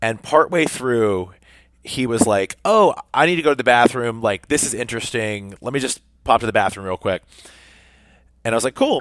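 The sound is dry and close with no echo, as a man with an American accent speaks at a medium pitch with ordinary pitch variation. He leaves long, frequent pauses. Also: moderate pace. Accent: general American, Kentucky accent dropped. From US South. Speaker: fitness media founder. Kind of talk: podcast interview. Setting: video call.

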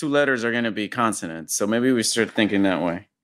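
This is a man speaking. He has a Puerto Rican accent. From Puerto Rico. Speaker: actor and comedian. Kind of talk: casual chat.

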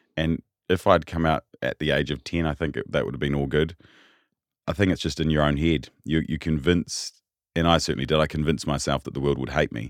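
A man with a New Zealand accent speaks at a fairly quick pace, his very deep, low pitch carrying vocal fry and fairly even intonation. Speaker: political reporter. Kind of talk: casual interview chat.

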